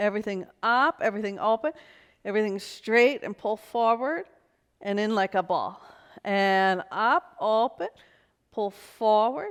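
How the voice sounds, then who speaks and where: A woman's fairly high voice with a New York accent. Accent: New York City. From US Northeast, New York City. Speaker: pilates instructor. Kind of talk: exercise class instruction. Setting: video shoot in New York City.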